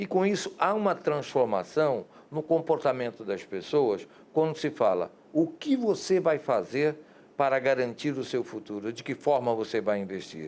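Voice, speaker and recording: Very wide pitch swings from a man speaking at a moderate pace. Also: fairly high pitch for a man. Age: 60s. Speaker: TV interviewer, journalist. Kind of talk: interview.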